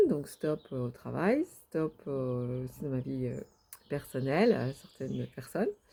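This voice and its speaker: Her intonation is lively, her tone dark and mellow. This woman speaks at a very slow pace. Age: 60s. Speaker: vlogger. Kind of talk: personal video diary. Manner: halting, many hesitations.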